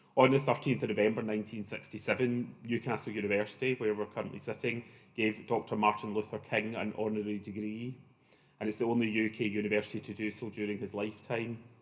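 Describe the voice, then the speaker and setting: Very fast, monotone, flat delivery from a fairly low-pitched man in a Glaswegian accent. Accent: Glaswegian Scottish. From Scotland, Glasgow. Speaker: professor. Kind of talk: conference opening remarks. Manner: hesitant, many fillers.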